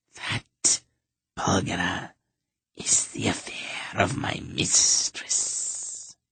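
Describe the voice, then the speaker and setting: A raspy, put-on character voice whispers at a very slow pace. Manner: hissing, cold.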